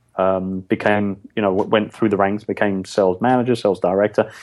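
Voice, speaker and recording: Fairly low in pitch, a man speaks with a London accent. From London, England. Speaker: podcast guest, business owner.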